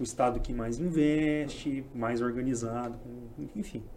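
Audible room echo hangs around the voice. Its pitch shifts in an ordinary way. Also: man. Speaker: tech startup founder. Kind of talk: casual chat.

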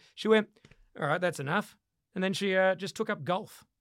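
A man with an Australian accent talks in a high pitch with lively intonation. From Western Australia. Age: 30s. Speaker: comedian. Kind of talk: casual chat. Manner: animated.

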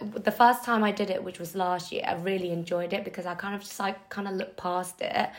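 Her words come at a very fast pace with hardly any pauses. The woman's pitch is medium, and noticeable background noise is present. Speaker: podcast co-host. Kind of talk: casual chat. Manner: giggly, animated.

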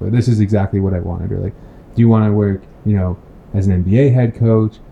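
Noticeable background noise accompanies a man speaking at a fairly low pitch in a monotone, flat way. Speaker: sports podcast host. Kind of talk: casual interview.

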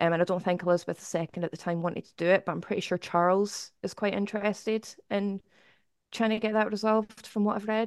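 A woman speaks at a fairly quick pace in an unremarkable speaking voice, her intonation fairly even. The sound is dry and close with no echo, over a quiet background. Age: 30s. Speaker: YouTuber and album reviewer. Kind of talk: casual chat.

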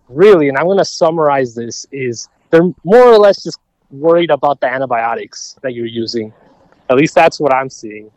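A man with an American accent talks at a moderate pace in a fairly high pitch, his intonation lively. It's a plain, everyday voice, recorded with a dry, close sound and no echo. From Minnesota. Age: 20s. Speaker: medical student. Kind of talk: casual chat.

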